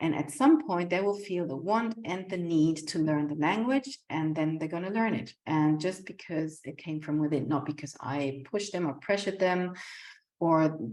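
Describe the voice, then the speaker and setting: A woman with a German accent at a fairly slow pace. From Germany. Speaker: community centre founder, home-educating mother. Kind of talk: casual vlog talk. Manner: halting, many fillers and repetitions.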